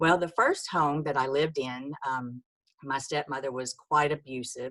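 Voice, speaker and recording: In a Texan accent, a woman with a very deep, low pitch and a bright, sharp tone speaks at a fairly slow pace with fairly even intonation. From Texas, rural. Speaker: author. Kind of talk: testimony. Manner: halting, many fillers.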